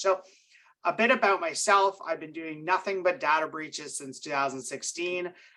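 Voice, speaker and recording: With a bright, sharp tone, a man speaks at a fairly quick pace. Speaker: cybersecurity specialist at a cyber insurer. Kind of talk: webinar presentation. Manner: fast.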